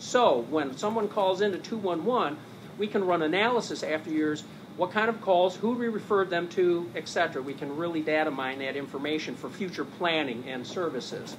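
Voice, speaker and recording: Audible room echo follows a man with a high pitch who speaks at a fairly quick pace with lively intonation. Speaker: nonprofit program manager presenting a service. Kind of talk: conference presentation with slides. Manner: hesitant with fillers; fast.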